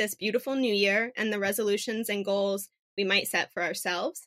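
A woman speaks with an American accent in a bright, sharp tone. The sound is dry and close, with no echo. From Phoenix, Arizona. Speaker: podcast co-host, breast cancer patient. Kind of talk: casual chat.

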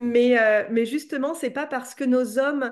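Music plays in the background as a woman talks fairly slowly in a high voice with fairly even intonation. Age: 30s. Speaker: entrepreneur and coach. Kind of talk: casual interview. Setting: at home.

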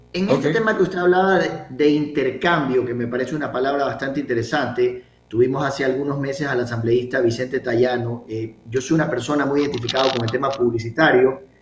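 Amid noticeable background noise, a man speaks at a very fast pace with hardly any pauses and ordinary pitch variation. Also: medium pitch for a man. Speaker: radio host. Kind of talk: radio talk show.

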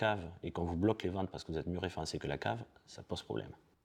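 A man speaks at a very fast pace with vocal fry. His pitch varies in an ordinary way. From southern France, Perpignan. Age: 40s. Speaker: e-commerce expert. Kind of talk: interview.

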